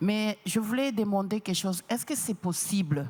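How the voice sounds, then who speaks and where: This woman's voice sits at a medium pitch. It has a somewhat breathy quality. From DR Congo. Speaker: audience member asking a question. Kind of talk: press conference question. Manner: halting.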